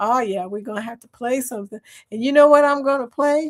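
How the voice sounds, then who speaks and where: On a very clean recording with a silent background, a woman with a Southern US accent speaks at a high pitch in an animated tone, with ordinary pitch variation. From US South. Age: 60s. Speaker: live stream chat host. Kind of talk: casual chat.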